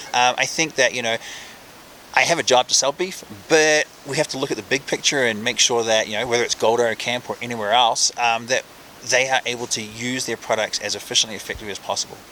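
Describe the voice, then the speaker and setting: A medium-pitched man with a New Zealand accent, talking very fast with fairly even intonation over noticeable background noise. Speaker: professional chef. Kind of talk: interview.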